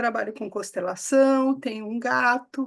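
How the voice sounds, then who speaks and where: A woman speaks at a fairly slow pace with a high pitch. The background is quiet. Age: 60s. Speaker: coach and consultant. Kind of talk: casual interview.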